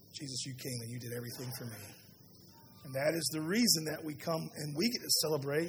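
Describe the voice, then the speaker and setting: Against audible room echo, a man talks at a very fast pace with fairly high pitch and lively intonation. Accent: Southern US. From US South. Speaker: pastor. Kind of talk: sermon.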